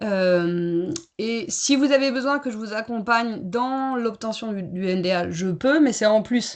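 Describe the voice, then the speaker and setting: Against a quiet background, a woman with a fairly high pitch has an unremarkable speaking voice. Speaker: certification consultant and coach. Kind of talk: webinar presentation.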